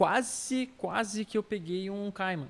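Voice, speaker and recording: A man talks at a very slow pace. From Brazil, São Paulo state (Itapira, Campinas). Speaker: artist. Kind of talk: casual chat.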